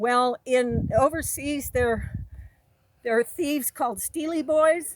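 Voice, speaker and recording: A woman speaks loudly at a very slow pace. Her pitch varies in an ordinary way. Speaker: military veteran. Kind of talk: personal monologue. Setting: outdoors.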